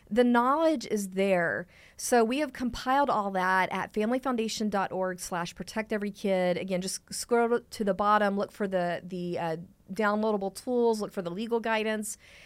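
A woman with an American accent speaks at a moderate pace in an unremarkable speaking voice with ordinary pitch variation, on a very clean recording with a silent background. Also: fairly high pitch for a woman. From Texas. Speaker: podcast host at advocacy group. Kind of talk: casual chat and news discussion.

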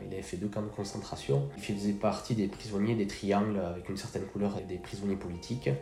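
Talking at a very fast pace with hardly any pauses, a man uses fairly even intonation at a fairly low pitch over noticeable background noise. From French Basque Country, Bidart. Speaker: firefighter and sea-trip boat captain. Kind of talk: interview.

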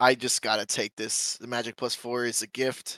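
Recorded very cleanly with a silent background and a dry, close sound with no echo, a man with an American accent speaks at medium pitch and a moderate pace in a normal speaking voice. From Michigan. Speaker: sports bettor. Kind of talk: casual chat.

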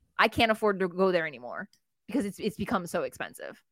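A bright, sharp tone in an American accent comes through a dry, close sound with no echo. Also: woman. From New Jersey. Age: 40s. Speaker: wrestling writer. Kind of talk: casual chat.

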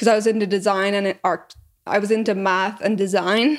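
In a Northern Irish accent, a woman at medium pitch speaks at a moderate pace with monotone, flat intonation. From Northern Ireland. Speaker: entrepreneur. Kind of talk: interview.

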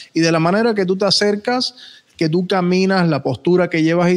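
Here a man speaks with a high pitch and ordinary pitch variation. His pace is moderate. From Puerto Rico. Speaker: podcast host. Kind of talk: casual chat.

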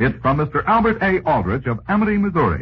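Speaking at a fairly quick pace, a man uses vocal fry and very wide pitch swings. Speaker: radio announcer. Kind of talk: old-time radio sponsor announcement, salesman's pitch. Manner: formal, crisp, smoothly persuasive announcer delivery.

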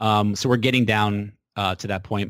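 Someone with an American accent and a plain, everyday voice speaks at a fairly slow pace. The intonation stays fairly even. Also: man. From New Hampshire, US. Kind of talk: casual interview.

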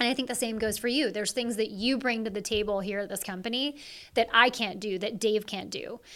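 In an ordinary speaking voice, a woman with an American accent talks at a fairly quick pace, fairly high in pitch, with fairly even intonation. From Seattle area, Washington. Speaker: chief operating officer. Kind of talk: interview conversation.

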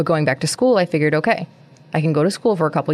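A woman's voice sits very deep and low in pitch. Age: 30s. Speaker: podcast host. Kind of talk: solo monologue podcast.

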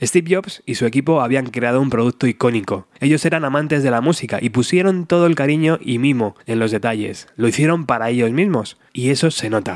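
A man has an ordinary speaking voice and ordinary pitch variation. He moves at a fairly quick pace with hardly any pauses. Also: medium pitch for a man. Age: 40s. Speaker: podcast host. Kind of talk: scripted narration.

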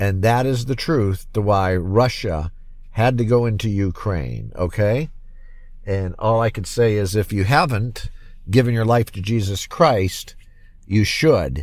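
Fairly slow and fairly low-pitched, a man talks with ordinary pitch variation. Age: 50s. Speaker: podcast host. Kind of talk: solo commentary podcast. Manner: halting, many fillers and repetitions.

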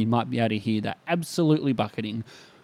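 He speaks with an Australian accent. The man's pace is very fast. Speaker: podcast host and church minister. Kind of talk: solo podcast monologue. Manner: casual with frequent fillers.

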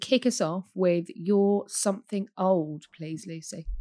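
A woman talks at a medium pitch with lively intonation. The recording is very clean, the background silent. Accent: British. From United Kingdom. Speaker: podcast host. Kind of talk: casual chat.

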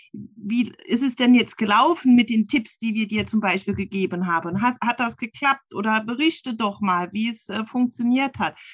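A woman speaks with hardly any pauses in a fairly high, somewhat breathy voice. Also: ordinary pitch variation, moderate pace. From Saarland. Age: 40s. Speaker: running group admin. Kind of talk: casual interview.

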